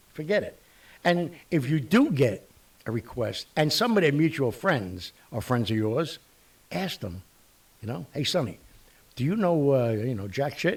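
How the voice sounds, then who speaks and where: With very wide pitch swings and a somewhat breathy sound, the voice moves at a fairly slow pace with long, frequent pauses. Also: man, fairly high pitch for a man. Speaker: talk show host. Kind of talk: casual talk show monologue. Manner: animated.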